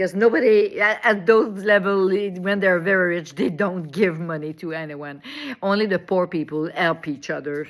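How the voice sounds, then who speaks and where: A medium-pitched woman with a French accent. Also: ordinary pitch variation, moderate pace. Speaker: online commentator. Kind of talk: monologue. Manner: halting.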